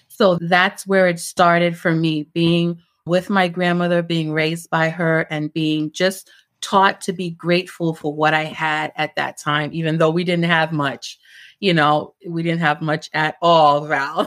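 On a very clean recording with a silent background, a woman with a New York accent talks at a fairly slow pace in a fairly low pitch, her intonation monotone and flat. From Brooklyn, New York (born in Jamaica). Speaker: entrepreneur. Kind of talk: casual chat.

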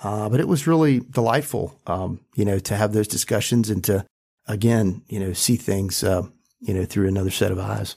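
A man with an American accent talks at a moderate pace, his pitch fairly low and ordinarily varied. His tone is dark and mellow. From US South, rural North Carolina. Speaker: school board member and business leader. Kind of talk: panel discussion.

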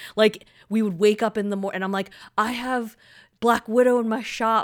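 On a very clean recording with a silent background, a woman with an ordinary speaking voice talks at a moderate pace, her pitch fairly high and its variation ordinary. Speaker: podcast co-host. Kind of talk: casual chat.

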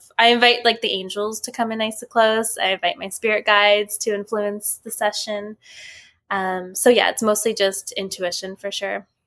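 A woman with a western Canadian accent speaks at a fairly high pitch in a bright, sharp tone with monotone, flat intonation. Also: moderate pace. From Vancouver, Canada. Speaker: podcast host and spiritual medium. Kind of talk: casual chat.

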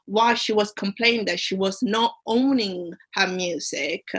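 At a very slow pace, a woman speaks with an Italian accent, a medium pitch and ordinary pitch variation. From Italy. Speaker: commercial awareness competition finalist, aspiring solicitor. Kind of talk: interview. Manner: halting.

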